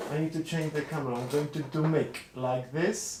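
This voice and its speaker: A man with a non-native accent speaks in a fairly high pitch with fairly even intonation. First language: not English. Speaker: street artist and vlogger. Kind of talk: casual live stream chat. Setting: live stream from home studio. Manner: hesitant, with fillers and restarts.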